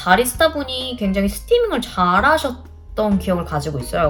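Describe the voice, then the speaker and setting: A woman's voice comes at a moderate pace while music plays behind her. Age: 30s. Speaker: homemaker, vlogger. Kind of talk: casual vlog talk to camera, cafe recommendations.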